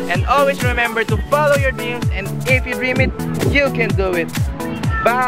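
Over loud background noise, a man talks at a moderate pace with long, frequent pauses. The sound is dry, with no echo. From Philippines. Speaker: vlogger. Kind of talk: casual talk to camera. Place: open country. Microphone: phone near.

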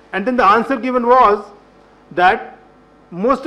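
A man's raised, projected voice with ordinary pitch variation. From India. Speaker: government health official; panelist. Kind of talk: panel discussion. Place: meeting room. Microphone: podium.

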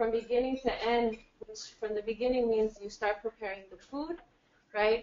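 Speaking with an American accent at a moderate pace, a woman uses a fairly high voice and fairly even intonation. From California. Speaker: musician; speaker. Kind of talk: introduction to a performance. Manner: halting. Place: meeting room. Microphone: camera far.

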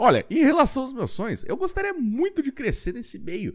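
A man speaks in an animated tone at a fairly quick pace. The background is quiet. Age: 20s. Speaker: gaming youtuber. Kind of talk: video pitch. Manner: halting. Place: home room. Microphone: studio mic.

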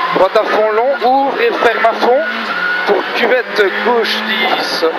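Loud background noise fills the recording. The speech moves at a fairly slow pace. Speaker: rally co-driver. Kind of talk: rally pace notes read aloud to the driver. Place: car. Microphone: headset.

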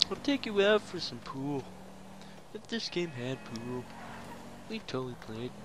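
Pausing long and often, a man with a fairly high pitch swings his voice very widely, against noticeable background noise. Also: moderate pace. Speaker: gaming YouTuber. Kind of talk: gameplay commentary. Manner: casual, joking, profane.

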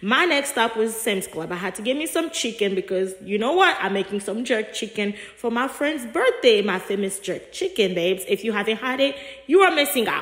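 Noticeable background noise sits behind a woman speaking at a fairly high pitch. She talks at a fairly quick pace with lively intonation. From Africa. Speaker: vlogger. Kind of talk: vlog voiceover narration. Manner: casual, chatty.

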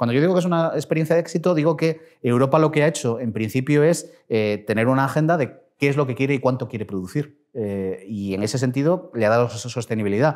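Against a quiet background, a man at medium pitch talks at a fairly quick pace with hardly any pauses. His intonation is lively. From Spain, Castilla y León. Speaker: politician; politician interviewee. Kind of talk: interview. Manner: hesitant, many fillers. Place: office. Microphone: lapel.

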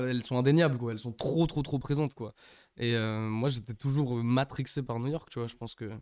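Talking at a fairly quick pace, a man speaks at a medium pitch with fairly even intonation. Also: quiet background. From England, Manchester. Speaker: rapper. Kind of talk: casual interview chat. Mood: relaxed casual chat. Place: studio. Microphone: studio mic.

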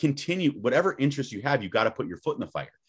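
Over a quiet background, a man talks with vocal fry. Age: 30s. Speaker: podcast guest or co-host. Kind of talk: casual chat. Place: home room. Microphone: webcam.

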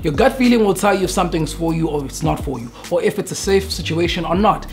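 A man speaks with faint music playing in the background. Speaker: photographer vlogger. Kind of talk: casual vlog chat. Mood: earnest, reflective. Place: studio.

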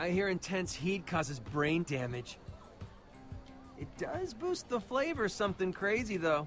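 A man uses a put-on character voice, high-pitched with big swings in pitch and a fairly bright tone. He talks at a fairly slow pace over faint background music.

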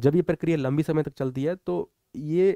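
In a quiet background, a man speaks with a dark, mellow tone and a dry sound with no echo. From Morena district, Chambal region, Madhya Pradesh, India; Madhya Pradesh. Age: 20s. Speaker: police officer, exam topper. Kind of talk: motivational talk and exam guidance. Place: studio. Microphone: headset.

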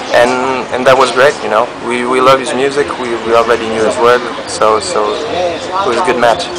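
Ordinary pitch variation under loud background noise. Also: man. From Portugal. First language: Portuguese. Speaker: indie band musician. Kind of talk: interview. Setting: outdoors in a park. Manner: halting, many repetitions. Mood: relaxed, friendly. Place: cafe. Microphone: camera far.

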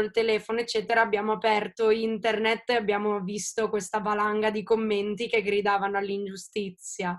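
A woman's fairly high voice at a moderate pace against a quiet background. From Italy. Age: 20s. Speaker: singer-songwriter; interviewee. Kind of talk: interview. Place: home room. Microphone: video call.

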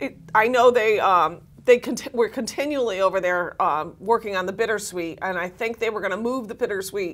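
Her pitch shifts in an ordinary way. The woman keeps to a moderate pace. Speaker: talk show co-host. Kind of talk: casual talk show chat. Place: studio. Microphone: lapel.

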